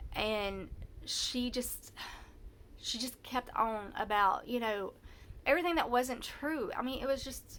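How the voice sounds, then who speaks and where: A woman's high, bright, sharp voice with lively intonation, in a Southern US accent. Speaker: vlogger telling personal story. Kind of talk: personal testimony. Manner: halting, many false starts; loud when anxious.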